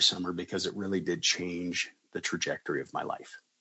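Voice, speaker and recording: Speaking at a very fast pace, a man talks in an American accent. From Colorado, near Boulder. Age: 50s. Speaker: school district administrator. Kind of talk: interview storytelling.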